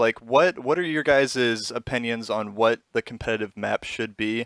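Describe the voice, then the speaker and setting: Intonation is lively throughout. The sound is dry and close with no echo, in a very clean recording with a silent background. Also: man. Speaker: podcast host. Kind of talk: casual chat. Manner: loud.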